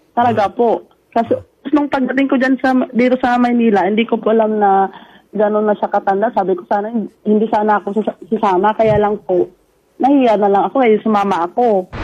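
Her voice is fairly high for a woman, with a dark, mellow tone. She talks at a fairly quick pace, and her pitch varies in an ordinary way. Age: 20s. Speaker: factory worker. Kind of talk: mediation call. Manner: heated.

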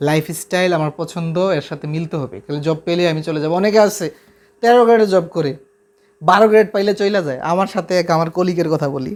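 Ordinary pitch variation in a man's voice set at a high pitch. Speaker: math YouTuber and polytechnic lab instructor. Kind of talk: casual vlog talk to viewers.

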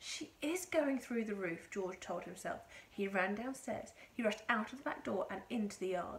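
Reading done in an unforced reading voice

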